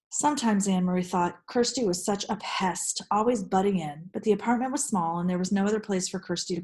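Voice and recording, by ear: In a natural voice, someone reads the text aloud, and the pitch shifts in an ordinary way.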